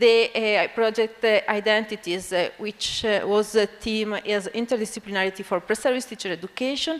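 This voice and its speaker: A woman with an Italian accent talks at a moderate pace in a fairly high pitch with ordinary pitch variation. Noticeable background noise can be heard. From Italy (Bologna). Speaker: physics education researcher, university academic. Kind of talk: conference lecture. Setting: conference stage with audience. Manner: halting, many fillers.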